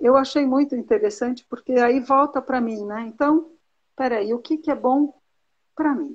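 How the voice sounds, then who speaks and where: A woman's high voice, with ordinary pitch movement, unfolds at a fairly slow pace. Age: 60s. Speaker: teacher and Ayurveda student. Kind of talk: mentoring conversation. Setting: live video call.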